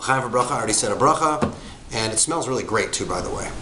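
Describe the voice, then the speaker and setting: Noticeable background noise runs through the clip. Audible room echo is also present. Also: man. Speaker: wine reviewer. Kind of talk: product review. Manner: casual, with fillers; stuttering a little.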